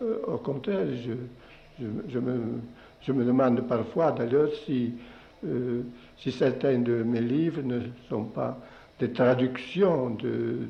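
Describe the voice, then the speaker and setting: Speaking very slowly with long, frequent pauses, a man uses a medium pitch, ordinary pitch variation and vocal fry. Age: 70s. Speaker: poet. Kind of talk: interview answer.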